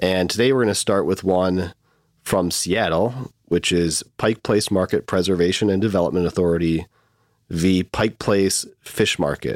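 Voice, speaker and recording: A man with a Midwestern US accent and a very deep, low pitch speaks at a moderate pace with fairly even intonation and very even loudness, in a dry, close sound with no echo on a very clean recording with a silent background. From US Midwest, Michigan. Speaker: lawyer podcast host. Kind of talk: casual chat, legal discussion.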